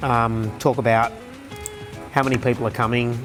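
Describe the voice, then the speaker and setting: A man's medium-pitched voice at a moderate pace, with music in the background. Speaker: auctioneer. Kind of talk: casual talk to camera.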